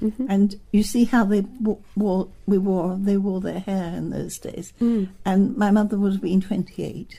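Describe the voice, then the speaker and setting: A woman's medium-pitched, dark, mellow, somewhat breathy voice with a London accent, monotone and flat, at a fairly slow pace. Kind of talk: oral history interview answer. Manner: reminiscing, conversational.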